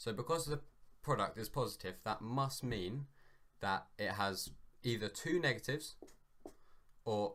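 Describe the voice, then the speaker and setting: With a British accent, the speaker uses lively intonation at a moderate pace, broken by long, frequent pauses. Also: man. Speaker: maths tutorial maker. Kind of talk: tutorial. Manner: hesitant, many ums; loud.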